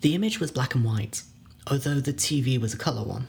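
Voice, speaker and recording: Speaking at a moderate pace, a man has a medium pitch and a somewhat breathy voice. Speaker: horror story narrator. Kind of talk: dramatic narration. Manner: suspenseful, hushed, building dread; measured pacing with wry, halting pauses.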